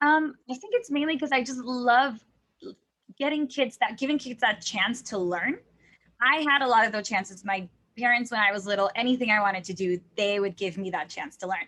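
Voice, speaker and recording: A woman's high-pitched voice with a bright, sharp tone, lively intonation, a fairly quick pace and a Spanish accent. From Texas. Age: 20s. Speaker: language teacher. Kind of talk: interview.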